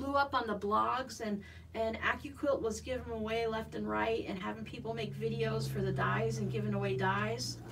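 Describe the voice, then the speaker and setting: A woman talks at a moderate pace in an American accent. There is noticeable background noise behind her. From US Southwest (Arizona). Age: 50s. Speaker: quilting YouTuber. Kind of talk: casual livestream chat and sewing tutorial. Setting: home sewing room livestream. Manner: chatty. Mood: relaxed, chatty. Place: home room. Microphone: phone near.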